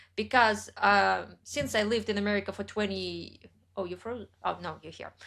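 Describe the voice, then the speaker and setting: Heard in a very clean recording with a silent background, the voice carries a Russian accent and ordinary pitch variation. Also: woman. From central Russia. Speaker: writer and YouTuber. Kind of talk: interview conversation.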